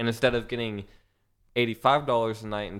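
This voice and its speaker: A man's fairly low, plain, everyday voice, fairly slow, with fairly even intonation. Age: 20s. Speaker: young entrepreneur, podcast guest. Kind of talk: casual chat.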